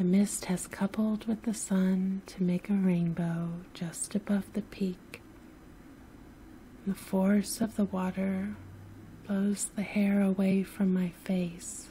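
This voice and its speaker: Whispering and soft-spoken, a woman talks at a very slow pace in a somewhat breathy voice. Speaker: sleep story narrator. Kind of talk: sleep story narration. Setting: home recording, no music. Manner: soft-spoken, whispery.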